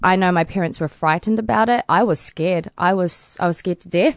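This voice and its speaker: A woman with a New Zealand accent. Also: quiet background. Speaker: paralympic swimmer. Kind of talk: interview. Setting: studio.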